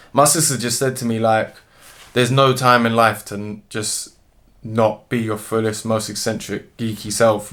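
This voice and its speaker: A man talks at a moderate pace in a medium pitch. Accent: London. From London, England (Dominica roots). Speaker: musician and zoologist. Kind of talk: interview.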